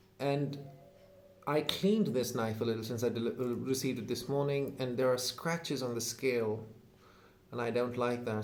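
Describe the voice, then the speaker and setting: Over noticeable background noise and audible room echo, a man at medium pitch speaks at a fairly quick pace with fairly even intonation. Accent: Indian. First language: Hindi. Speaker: YouTuber, knife collector. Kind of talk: unboxing video. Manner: hesitant, many fillers.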